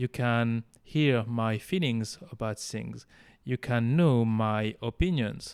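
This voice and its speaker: A man speaks at a very slow pace with ordinary pitch variation. The recording is very clean, with a silent background. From France. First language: French. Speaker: French language teacher. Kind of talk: casual tutorial monologue. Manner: halting, with fillers.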